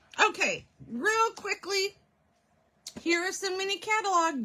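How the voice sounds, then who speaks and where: Her voice raised and projected, a woman speaks with lively intonation and a bright, sharp tone. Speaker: craft demonstrator. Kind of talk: livestream product presentation. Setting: live stream. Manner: casual, chatty.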